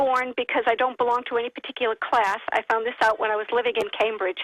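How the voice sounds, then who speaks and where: A woman talks at a very fast pace with an American accent. Her pitch is high. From United States. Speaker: caller. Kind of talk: radio call-in. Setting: phone call.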